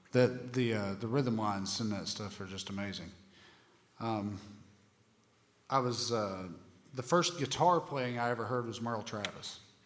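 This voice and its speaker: There is noticeable background noise as a man talks at a moderate pace. He pauses long and often, with ordinary pitch variation. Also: medium pitch for a man. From southeastern Ohio (Appalachian region). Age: 40s. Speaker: bluegrass guitarist and music instructor. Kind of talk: music workshop talk with Q&A. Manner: halting, many fillers.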